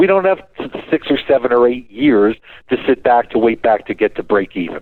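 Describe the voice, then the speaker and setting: A man speaks at medium pitch and a fairly quick pace. His intonation is lively. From Canada. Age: 60s. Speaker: financial and diamond investment expert. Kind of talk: radio show talk. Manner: animated.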